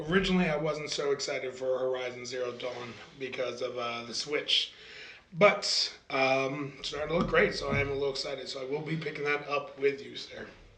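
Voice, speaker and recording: A man at a fairly high pitch and fairly quick pace, with audible room echo and noticeable background noise. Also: fairly even intonation. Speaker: podcast co-host. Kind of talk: casual chat.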